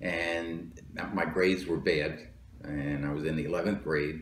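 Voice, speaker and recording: With a New Jersey accent, a man speaks at a moderate pace in a very deep, low pitch and fairly even intonation. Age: 70s. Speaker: Marine Corps veteran and police lieutenant. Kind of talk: interview answer.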